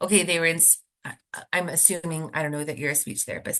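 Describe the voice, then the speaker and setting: A woman with a very deep, low voice at a very fast pace. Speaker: speech language pathologist. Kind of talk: webinar presentation Q&A. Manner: casual, many fillers.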